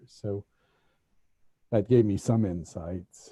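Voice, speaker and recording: A man with an American accent speaks at a fairly low pitch in a dark, mellow tone, somewhat breathy, with a dry, close sound and no echo. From United States. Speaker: former diplomat. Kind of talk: panel discussion. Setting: video call. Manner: halting.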